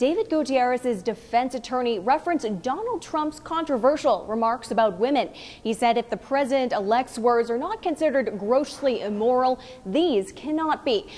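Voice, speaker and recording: With lively intonation and a high pitch, a woman talks through noticeable background noise. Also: moderate pace. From Massachusetts. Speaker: TV news reporter. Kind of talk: TV news live shot and stand-up.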